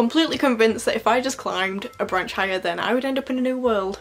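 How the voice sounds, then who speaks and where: A woman speaks at a very fast pace with ordinary pitch variation. Light background noise can be heard. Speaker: book vlogger. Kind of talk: casual vlog chat. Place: home room. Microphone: phone near.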